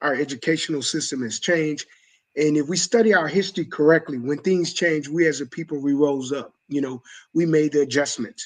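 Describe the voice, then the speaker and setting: A man with an American accent speaks in a plain, everyday voice, fairly high in pitch. His pace is fairly quick, with ordinary pitch variation, against a quiet background. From US South, Mobile, Alabama. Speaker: coach and mentor. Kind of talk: panel discussion.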